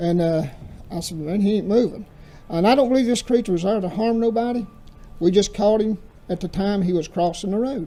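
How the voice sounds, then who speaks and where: A man with a North Carolina accent talks at a fairly quick pace. His pitch is high, with ordinary variation. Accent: Southern US, North Carolina. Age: 60s. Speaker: pastor. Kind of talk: testimony.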